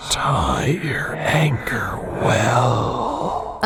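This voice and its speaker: A man's breathy, put-on character voice at a medium pitch, over loud background noise. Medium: read story. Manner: terse, archaic phrasing.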